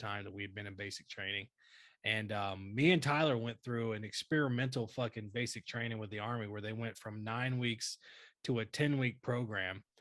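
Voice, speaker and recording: A man with a Southern US accent speaks at medium pitch and a moderate pace, with ordinary pitch variation. The recording is very clean, with a silent background. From North Carolina. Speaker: army veteran podcast co-host. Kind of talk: casual chat. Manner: animated.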